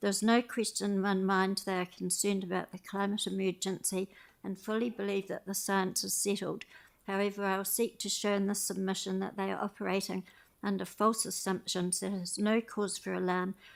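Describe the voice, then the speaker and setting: In a very clean recording with a silent background, a woman with a New Zealand accent speaks at a fairly quick pace in a monotone, flat intonation. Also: medium pitch for a woman. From New Zealand, Christchurch. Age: 80s+. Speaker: public submitter at council meeting. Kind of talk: public submission, partly read aloud. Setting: community board meeting.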